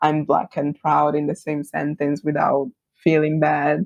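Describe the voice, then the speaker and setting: The speaker has an Italian accent and talks at a fairly slow pace. The sound is dry and close, with no echo. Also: woman. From Italy. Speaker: branding agency founder. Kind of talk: podcast interview.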